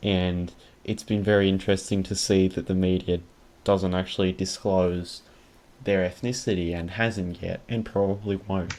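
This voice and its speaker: With an Australian accent, a man talks at a moderate pace in a very deep, low pitch and a monotone, flat intonation. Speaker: podcast host. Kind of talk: casual podcast chat.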